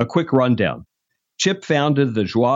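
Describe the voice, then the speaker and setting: At medium pitch and moderate pace, a man talks in a plain, everyday voice, his pitch varying in an ordinary way. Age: 60s. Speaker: podcast host and executive search founder. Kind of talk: scripted introduction; interview conversation.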